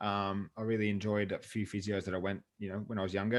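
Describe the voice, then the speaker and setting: A man with a western Sydney accent at a fairly quick pace, on a very clean recording with a silent background. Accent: western Sydney Australian. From western Sydney, Australia. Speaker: fitness coach and gym owner. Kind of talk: interview. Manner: casual.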